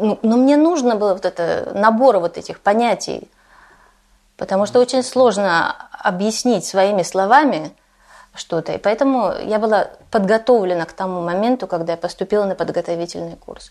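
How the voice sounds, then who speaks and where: A woman speaks in an ordinary speaking voice at medium pitch and a moderate pace. Her pitch variation is ordinary, while her loudness swings widely. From Russia. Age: 40s. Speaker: Russian emigrant living in Denmark. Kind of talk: interview.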